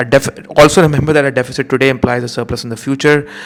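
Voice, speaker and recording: A man at medium pitch, talking at a very fast pace. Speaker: economics teacher. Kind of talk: revision lecture.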